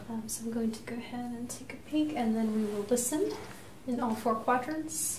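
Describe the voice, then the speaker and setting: Soft-spoken and calm, a woman talks at a high pitch and moderate pace with ordinary pitch variation and big swings in loudness, amid audible room echo and light background noise. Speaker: nurse practitioner. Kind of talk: clinical head-to-toe assessment narration, unintentional ASMR. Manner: soft-spoken, calm, explanatory. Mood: calm, reassuring. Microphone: phone near.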